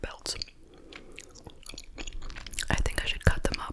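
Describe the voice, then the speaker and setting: A soft-spoken whisper. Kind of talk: casual vlog chat. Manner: soft ASMR whisper.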